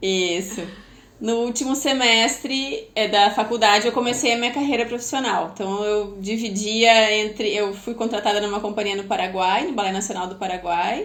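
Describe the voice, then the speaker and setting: A woman with a strong gaúcho accent speaks at a moderate pace and a fairly high pitch, with ordinary pitch variation. Audible room echo and noticeable background noise fill the recording. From southern Brazil, Porto Alegre. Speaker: former professional ballet dancer and PBT tutor. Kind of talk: podcast interview.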